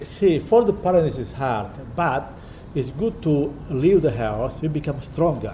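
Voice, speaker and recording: A man with a fairly high, somewhat breathy voice talks at a fairly slow pace with lively intonation. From Italy. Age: 70s. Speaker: restaurant owner. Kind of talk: interview. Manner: halting.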